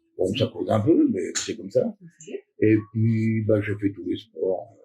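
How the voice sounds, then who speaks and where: Music plays in the background as a man speaks at a very slow pace. His loudness swings widely. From Normandy, Cotentin. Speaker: retired soldier and basketball club founder. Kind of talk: interview. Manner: hesitant, casual.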